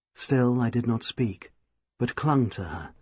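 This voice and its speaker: Fairly slow, somewhat breathy man's voice at medium pitch, with a quiet background. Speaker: audiobook narrator. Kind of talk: audiobook novel reading. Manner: sensitive, expressive.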